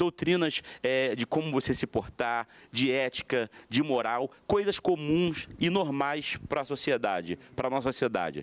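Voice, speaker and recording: Lively in intonation yet very even in loudness, a man talks at a fairly slow pace. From Brazil. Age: 20s. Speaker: pastor. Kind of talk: TV panel debate. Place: studio. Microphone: handheld.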